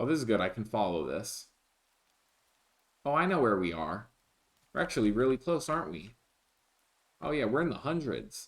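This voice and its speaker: Marked by vocal fry and very wide pitch swings, the speech moves at a moderate pace with long, frequent pauses. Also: man, medium pitch for a man. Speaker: gaming streamer. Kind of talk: live gameplay commentary. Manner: repetitive.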